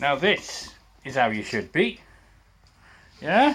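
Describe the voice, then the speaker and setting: The speaker is a man. He talks with a northern English accent. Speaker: camera operator in a motorbike workshop. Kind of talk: casual chat. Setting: workshop. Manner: loud.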